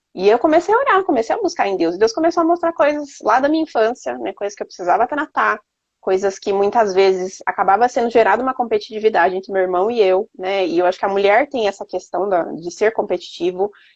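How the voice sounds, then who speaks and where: A woman's very fast, fairly high-pitched delivery, with very wide pitch swings and hardly any pauses. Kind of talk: faith testimony conversation. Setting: Instagram live video stream.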